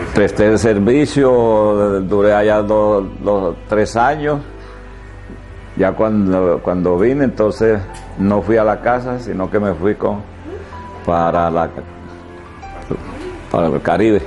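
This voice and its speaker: A man with a fairly low pitch talks at a very slow pace, with long, frequent pauses and ordinary pitch variation. His loudness is very even, and faint music plays in the background. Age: 70s. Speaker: army veteran. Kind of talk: interview answer. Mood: reflective, hesitant. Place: street.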